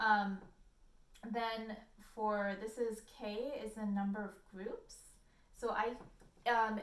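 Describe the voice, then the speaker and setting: There is audible room echo around a woman with a fairly high pitch. She talks at a very slow pace. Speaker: statistics instructor. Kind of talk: lecture. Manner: hesitant, many fillers.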